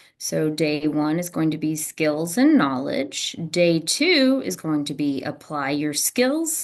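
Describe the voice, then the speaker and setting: Against a quiet background, a woman speaks very slowly. Her pitch is very deep and low, and her intonation is lively. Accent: slight Southern US. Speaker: teacher, test prep instructor. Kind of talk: lecture. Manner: casual, conversational.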